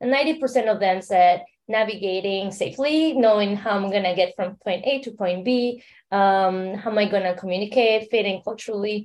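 A woman talks with a Mexican accent at a moderate pace. She leaves hardly any pauses, and the background is quiet. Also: medium pitch for a woman, ordinary pitch variation. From Mexico City, Mexico. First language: Spanish. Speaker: startup founder and entrepreneur. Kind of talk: interview.

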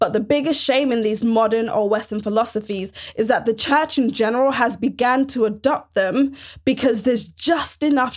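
At a moderate pace, a woman with fairly high pitch and ordinary pitch variation speaks in a plain, everyday voice. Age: 30s. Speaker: podcast host and pastor. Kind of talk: faith-based solo podcast monologue.

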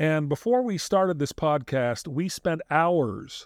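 On a very clean recording with a silent background, a man with an unremarkable speaking voice and fairly high pitch talks at a fairly slow pace, the sound dry and close with no echo. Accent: American. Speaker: podcast host. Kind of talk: casual chat.

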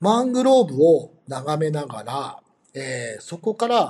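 Speaking at a fairly slow pace, a man lets his pitch make very wide swings. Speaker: tour company staff. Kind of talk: interview. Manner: halting with many fillers.

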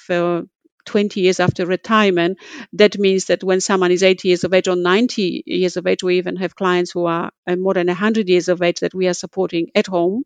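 A woman with a Polish accent speaks at a moderate pace in a medium-pitched voice. The background is quiet, with a dry, close sound with no echo. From Poland. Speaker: community services CEO. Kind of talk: interview conversation. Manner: passionate, animated.

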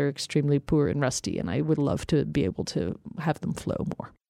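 A woman talks at a very fast pace with a very deep, low pitch. Her tone is dark and mellow, with vocal fry. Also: quiet background. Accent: American. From US, Colorado. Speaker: evolutionary ecology professor. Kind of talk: interview. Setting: studio.

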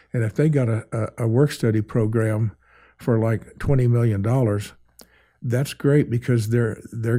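A man's medium-pitched voice, dark, mellow and somewhat breathy, with an American accent, moderate pace and fairly even intonation in a very clean recording with a silent background. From northern Oklahoma. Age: 80s+. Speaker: cowboy artist. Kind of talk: casual interview. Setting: studio.

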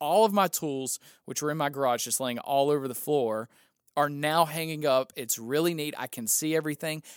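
In a very clean recording with a silent background, a man talks at a moderate pace with ordinary pitch variation. He has a normal speaking voice, fairly high in pitch, with a dry, close sound and no echo. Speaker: pastor and podcast host. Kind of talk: casual chat.

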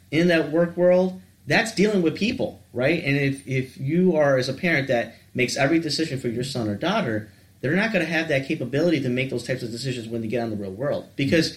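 A man with an American accent talks at a very fast pace in a fairly high pitch. His voice is somewhat breathy and his intonation lively. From Metro Detroit, Michigan. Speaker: school guidance counselor. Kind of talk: casual chat.

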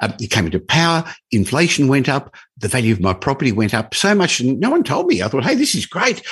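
Over a quiet background, a man with an Australian accent speaks at a fairly quick pace in a somewhat breathy voice. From Australia, Melbourne. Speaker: property investment expert and business owner. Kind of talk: interview. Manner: bubbly, upbeat.

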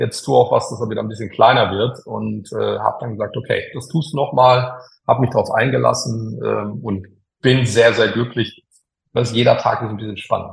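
Loudness rises and falls sharply as a man talks at a moderate speed. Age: 50s. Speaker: engineer and tech executive. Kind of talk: interview. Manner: hesitant, frequent filler sounds.

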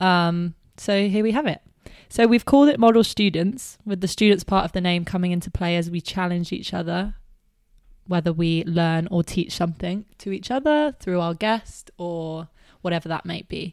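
A woman with a British accent, fairly low in pitch and animated in tone, at a moderate pace, in a very clean recording with a silent background. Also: ordinary pitch variation. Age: 20s. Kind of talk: casual chat.

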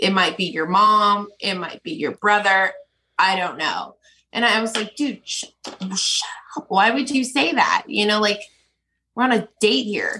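A bright, sharp tone with lively intonation at a fairly slow pace. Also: woman, fairly high pitch for a woman. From US, moved around (born Philadelphia). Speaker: sex worker and event producer. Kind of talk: casual interview.

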